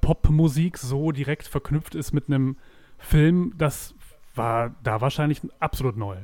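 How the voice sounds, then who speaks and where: A man with a fairly high pitch talks at a moderate pace. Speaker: film podcast co-host. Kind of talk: casual chat.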